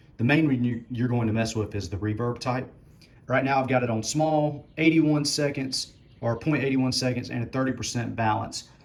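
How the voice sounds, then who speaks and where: A man talks in a relaxed tone with fairly even intonation, with audible room echo around him. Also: medium pitch for a man, moderate pace. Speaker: musician demonstrating PA gear. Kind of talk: tutorial. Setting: garage. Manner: casual, relaxed.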